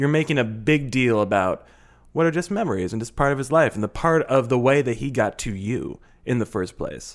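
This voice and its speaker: A man speaks in an unremarkable speaking voice at a medium pitch, with lively intonation. The recording is very clean, with a silent background. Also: fairly quick pace. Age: 30s. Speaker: advice podcast co-host. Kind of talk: casual chat; show promo and sign-off.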